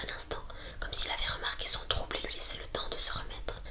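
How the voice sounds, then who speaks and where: Whispering from a woman, with noticeable background noise behind it. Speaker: ASMR creator. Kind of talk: whispered audiobook reading.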